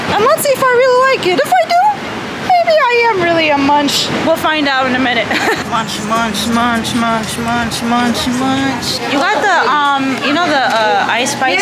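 A fairly slow pace over crowd noise in the background. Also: woman. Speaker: vlogger. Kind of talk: casual vlog chat.

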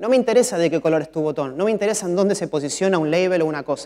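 Against a quiet background, a man with a high pitch rattles along at a very fast pace with ordinary pitch variation. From Argentina. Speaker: mobile software developer; conference speaker. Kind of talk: conference talk. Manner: frequent filler 'eh' hesitations. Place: stage. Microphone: lapel.

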